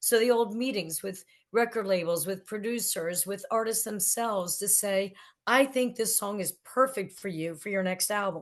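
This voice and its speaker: A woman talks at a moderate pace and medium pitch with ordinary pitch variation, in an ordinary speaking voice. The background is quiet. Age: 60s. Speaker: record promotion executive and author. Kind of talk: podcast interview.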